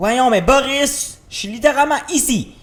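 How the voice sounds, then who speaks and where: A man speaks very slowly in a Quebec accent. Noticeable background noise can be heard. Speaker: gaming youtuber. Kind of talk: let's play commentary. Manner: animated.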